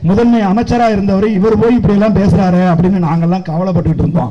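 With ordinary pitch variation, this man's voice sits high. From Tamil Nadu. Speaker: film director speaking at political rally. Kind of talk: political campaign speech. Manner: loud; animated. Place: stage. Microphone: podium.

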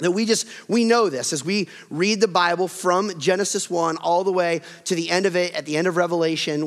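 A man speaks in a high pitch at a moderate pace with fairly even intonation. The background stays quiet. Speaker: pastor. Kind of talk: sermon. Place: church. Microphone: headset.

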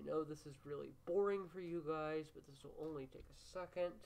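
There is noticeable background noise as a woman speaks at a moderate pace with fairly even intonation. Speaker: gaming channel host. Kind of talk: let's play commentary.

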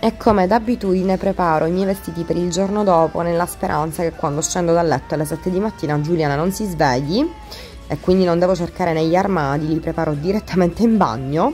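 Faint music plays in the background as a woman speaks at a very fast pace. Her pitch variation is ordinary. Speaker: beauty vlogger. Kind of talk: casual vlog chat. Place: bathroom. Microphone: phone near.

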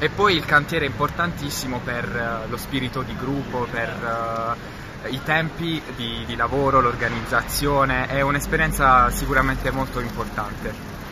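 A man talks at a fairly slow pace. Noticeable background noise sits behind him. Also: fairly even intonation. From Apulia, Italy (Gioia del Colle); Apulia. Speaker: conservation student. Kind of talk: interview testimony. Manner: some hesitation, word repeats.

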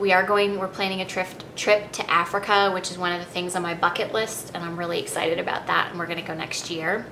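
A woman speaks over noticeable background noise. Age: 40s. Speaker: style vlogger. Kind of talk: personal vlog monologue. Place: home room. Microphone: webcam.

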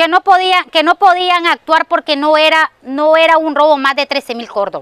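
With lively intonation, a woman speaks over a quiet background in a dry sound with no echo. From Nicaragua. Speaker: family member of victim. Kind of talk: news interview testimony. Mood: upset, indignant. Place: garden. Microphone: lapel.

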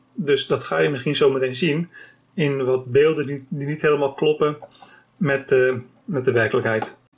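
Somewhat breathy, the voice moves at a moderate pace with fairly even intonation. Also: man. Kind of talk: tutorial. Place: workshop.

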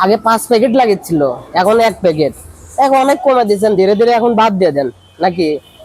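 A man's high-pitched voice with lively intonation and very even loudness. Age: young. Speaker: vlogger. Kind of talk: street interview vlog.

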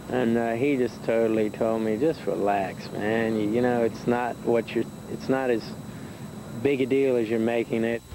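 There is noticeable background noise as a man talks at a moderate pace with fairly even intonation in a dry sound with no echo. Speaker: actor interviewed. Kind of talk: interview answer. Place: studio.

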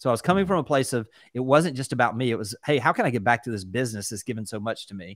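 A man talks at a very fast pace, the sound dry with no echo and the background quiet. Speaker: real estate company executive; guest real estate coach. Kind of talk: casual interview. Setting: video call. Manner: animated. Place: home room. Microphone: studio mic.

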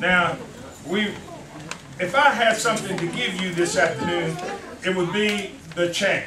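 Over noticeable background noise, a man with a high pitch speaks in a raised, projected voice and an animated tone, with ordinary pitch variation and long, frequent pauses. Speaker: church elder preaching. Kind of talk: fervent sermon, call-and-response preaching climax. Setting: church. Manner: rhythmic repetitive exhortation, 'you gotta' cadence; animated, calling out to congregation with interjections.

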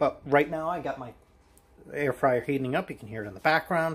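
Somewhat breathy, a man talks at a moderate pace with ordinary pitch variation. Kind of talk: casual cooking tutorial. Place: kitchen. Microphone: camera far.

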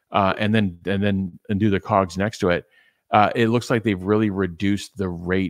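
In a dry sound with no echo and a quiet background, a man talks at a moderate pace with a fairly low pitch and fairly even intonation. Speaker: business analyst. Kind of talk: casual discussion. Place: home room. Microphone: studio mic.

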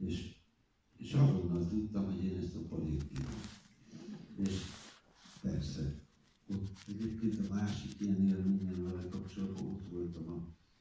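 In a room with strong echo and light background noise, a man speaks with a very deep, low pitch and a dark, mellow, somewhat breathy tone, using ordinary pitch variation at a fairly slow pace with long, frequent pauses. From Hungary. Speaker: film director. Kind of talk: interview answer. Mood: reflective, warm, wry. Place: stage.

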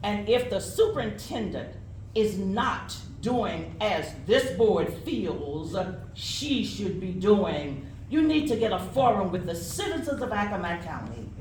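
The speech comes at a fairly slow pace with audible room echo. Noticeable background noise is present. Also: woman. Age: 70s. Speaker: parent giving public comment. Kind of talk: public comment speech. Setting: school board meeting podium.

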